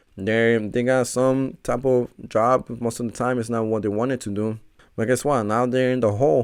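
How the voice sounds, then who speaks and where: Talking at a fairly quick pace, a man uses a medium-pitched voice. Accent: Spanish. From Mexico, raised in Chicago from age seven. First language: Spanish. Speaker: personal trainer and podcast host. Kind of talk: solo podcast monologue.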